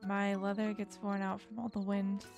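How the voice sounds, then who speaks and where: A soft-spoken woman at a medium pitch, calm in tone and fairly slow, with music in the background. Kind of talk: gentle gameplay commentary. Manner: soft-spoken, calm.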